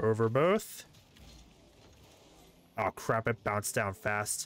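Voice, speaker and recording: The sound is dry and close with no echo as a man talks at a fairly low pitch. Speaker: gamer. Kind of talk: casual gaming commentary.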